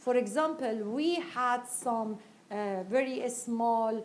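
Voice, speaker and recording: A woman speaks very slowly in a high voice with ordinary pitch variation, and room echo is audible. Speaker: women's rights activist. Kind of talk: panel interview. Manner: halting.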